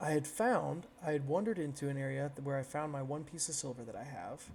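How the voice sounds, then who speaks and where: The man's voice is somewhat breathy and fairly high in pitch. His pitch varies in an ordinary way. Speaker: gaming streamer. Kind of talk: casual chat. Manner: mumbling.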